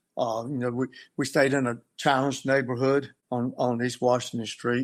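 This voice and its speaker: At a moderate pace, a man with a North Carolina accent talks in a flat monotone over a very clean, silent background. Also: medium pitch for a man. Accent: US Southern, North Carolina. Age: 60s. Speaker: victim's brother. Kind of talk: interview testimony. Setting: podcast interview. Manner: halting.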